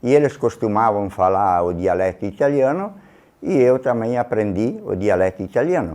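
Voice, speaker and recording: Against a quiet background, a man speaks at a moderate pace. His tone is dark and mellow, and his intonation is lively. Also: medium pitch for a man. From Rodeio, Santa Catarina, southern Brazil. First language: Trentino Italian dialect (speaking Portuguese). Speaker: interviewee. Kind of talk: documentary interview.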